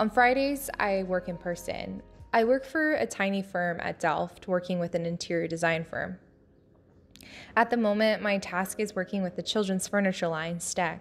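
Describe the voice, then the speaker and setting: A woman talks at a moderate pace and medium pitch with ordinary pitch variation, music playing in the background. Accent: American. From New Jersey. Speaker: architecture student. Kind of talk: casual vlog narration.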